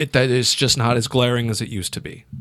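Here is a man with a normal speaking voice and an American accent. He talks at a moderate pace and a medium pitch. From Illinois, US Midwest. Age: 30s. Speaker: stand-up comedian. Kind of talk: casual chat.

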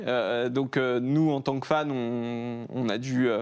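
This is an ordinary speaking voice from a man. His pitch is medium and his intonation fairly even. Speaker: online video creator. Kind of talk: casual chat.

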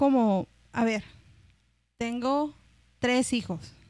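Very slow speech from a high-pitched woman, lively intonation, very clean recording with a silent background. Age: 20s. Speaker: comedian, podcast host. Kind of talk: casual chat.

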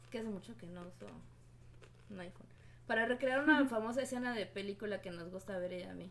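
Lively in intonation and with vocal fry, a woman talks at a very fast pace, broken by long, frequent pauses, her loudness swinging widely. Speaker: podcast co-host. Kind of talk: casual chat.

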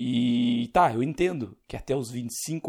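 Lively intonation runs through this man's speech. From Rio Grande do Sul, Brazil. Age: 30s. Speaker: podcast host. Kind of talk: solo monologue podcast. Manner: casual, unscripted.

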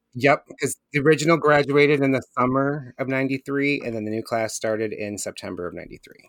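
At a moderate pace with hardly any pauses, a man speaks at medium pitch with ordinary pitch variation, in a dry, close sound with no echo. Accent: Michigan. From Michigan, Flint. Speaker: podcast host guest. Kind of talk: casual chat. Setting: video call.

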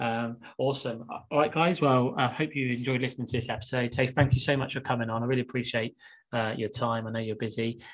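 Speaking fast, a man keeps a medium pitch and fairly even intonation.

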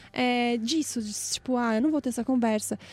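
A woman's dark, mellow tone comes through in a dry, close sound with no echo. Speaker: podcast host. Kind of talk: casual chat.

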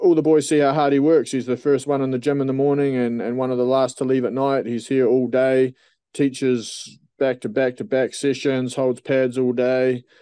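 Speaking with a New Zealand accent, a man keeps a moderate pace at a medium pitch. His tone is dark and mellow, and his intonation fairly even. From New Zealand, Dunedin. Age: 30s. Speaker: professional MMA fighter. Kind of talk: casual interview.

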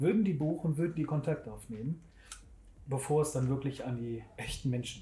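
Somewhat breathy, fairly high-pitched speech from a man, with a dark, mellow tone, ordinary pitch variation, big swings in loudness and a moderate pace. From Germany, Bergisches Land (Wermelskirchen/Remscheid). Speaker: web designer. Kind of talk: casual interview. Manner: halting, many fillers.

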